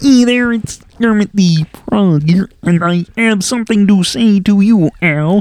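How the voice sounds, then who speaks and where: A female-sounding put-on character voice sits at medium pitch for a woman. The pace is fairly slow. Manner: chirpy, greeting.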